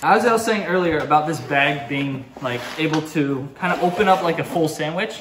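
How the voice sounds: Room echo is audible as a man speaks at a moderate pace. His pitch is fairly high, with ordinary variation. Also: fairly bright tone.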